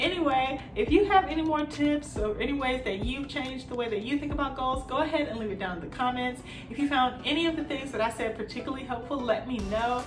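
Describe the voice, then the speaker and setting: At a very fast pace with hardly any pauses, a woman speaks at a high pitch with ordinary pitch variation over noticeable background noise. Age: 20s. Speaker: work-at-home mom and lifestyle vlogger. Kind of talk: casual talk to camera. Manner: casual, chatty.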